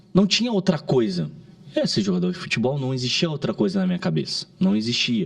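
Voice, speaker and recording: A man speaks at a fairly quick pace in a high voice. His pitch swings very widely over noticeable background noise. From southern Brazil, Caxias do Sul, Rio Grande do Sul. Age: 30s. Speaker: digital marketing entrepreneur. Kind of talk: podcast interview. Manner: halting, with frequent restarts.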